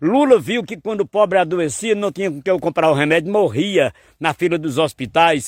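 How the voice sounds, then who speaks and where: A man speaks at a moderate pace in a high pitch, with an animated tone and lively intonation. The recording is very clean, the background silent. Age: 60s. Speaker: poet and folk singer. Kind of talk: political commentary.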